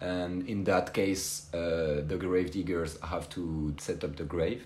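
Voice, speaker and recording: A man with a French accent speaks at a very slow pace. Audible room echo colors the recording. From France. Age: 20s. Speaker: former cemetery worker. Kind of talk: interview. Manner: halting, many fillers.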